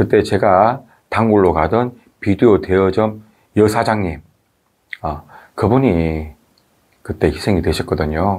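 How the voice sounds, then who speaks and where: A man speaks at a very slow pace, leaving long, frequent pauses. His voice is fairly low, with ordinary pitch variation. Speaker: video commentator. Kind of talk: talk-to-camera commentary. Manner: hesitant, many fillers.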